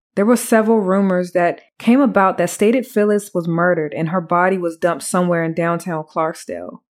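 Speaking at a fairly quick pace, a woman with a medium pitch and ordinary pitch variation has an ordinary speaking voice on a very clean recording with a silent background. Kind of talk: true-crime narration.

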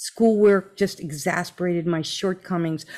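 In an American accent, a woman talks at a fairly slow pace with ordinary pitch variation and an ordinary speaking voice. The recording is very clean, with a silent background. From New Jersey. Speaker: podcast host. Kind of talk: live interview. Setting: live stream. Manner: warm, effusive.

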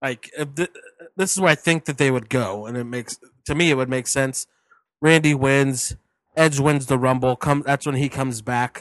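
An ordinary speaking voice with fairly even intonation talks at a moderate pace, the sound dry and close with no echo. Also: man, medium pitch for a man. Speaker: wrestling podcast co-host. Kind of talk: casual chat.

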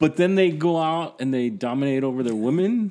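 A man speaks at a fairly slow pace with lively intonation on a very clean recording with a silent background. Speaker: podcast host and interviewer. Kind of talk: casual interview.

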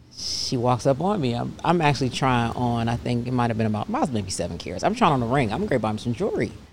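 Speaking at a very fast pace with hardly any pauses, a woman uses a very deep, low pitch and lively intonation. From US South, Atlanta (moved from Pennsylvania at 12). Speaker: bodywork business owner. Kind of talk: testimony.

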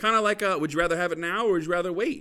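Marked by a bright, sharp tone, a man speaks with an American accent. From Arizona (Gilbert). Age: 20s. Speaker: podcast co-host. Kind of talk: casual chat.

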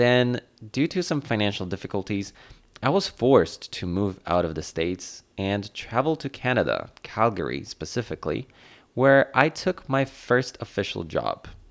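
Medium-pitched male voice with very wide pitch swings, moderate pace, and a very clean recording over a silent background. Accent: Polish. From Poland. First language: Polish. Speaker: podcast host. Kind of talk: solo podcast monologue.

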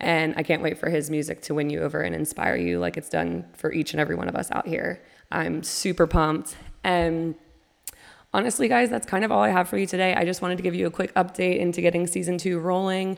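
A woman rattles along at a very fast pace, her animated tone marked by vocal fry and ordinary pitch variation. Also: fairly low pitch for a woman. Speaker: podcast host. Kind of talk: casual monologue. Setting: home kitchen table, some echo.

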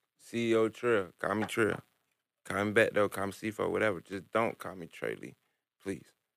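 Long, frequent pauses break up speech at a moderate pace, with vocal fry, big swings in loudness and fairly even intonation. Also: man. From US South, born in New York. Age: 20s. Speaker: rapper. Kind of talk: casual interview. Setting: studio.

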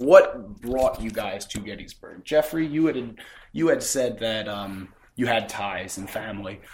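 In an American accent, a man with an unremarkable speaking voice talks slowly at a medium pitch, with lively intonation and big swings in loudness. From Philadelphia suburbs, US. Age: 20s. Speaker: podcast host. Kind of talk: interview. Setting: on location.

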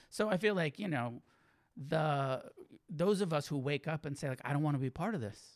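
Speaking with an American accent, a man uses an unremarkable speaking voice, fairly high in pitch, with lively intonation. His pace is moderate, and the recording is very clean with a silent background. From California, Santa Cruz. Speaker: Buddhist teacher and author. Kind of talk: casual interview.

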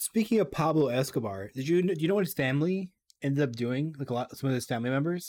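In a very clean recording with a silent background, a man with a fairly high pitch speaks very fast with lively intonation. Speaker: podcast co-host. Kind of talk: casual chat.

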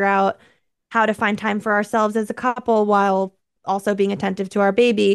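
Against a quiet background, a woman speaks at a moderate pace in a monotone, flat intonation. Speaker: digital content creator. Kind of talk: casual interview chat.

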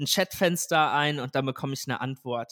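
A man's fairly high-pitched, normal speaking voice at a moderate pace, in a very clean recording with a silent background. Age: 20s. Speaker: tech startup founder. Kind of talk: interview. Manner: frequent filler sounds.

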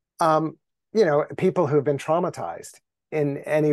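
A man's fairly high voice at a moderate pace with ordinary pitch variation, an unremarkable speaking voice. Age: 60s. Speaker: contemplative teacher and spiritual writer. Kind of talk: casual interview conversation.

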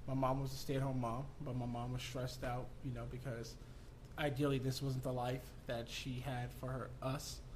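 A man with an American accent speaks at a moderate pace and a medium pitch, with audible room echo. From Southern California. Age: 30s. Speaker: entrepreneur and real estate investor. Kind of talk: casual interview. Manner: animated.

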